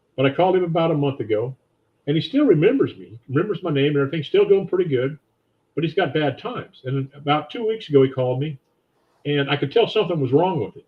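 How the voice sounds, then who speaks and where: A man speaks at a very fast pace with a fairly high pitch and a somewhat breathy voice. His intonation is lively, with big swings in loudness. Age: 70s. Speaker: financial advisor. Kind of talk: interview.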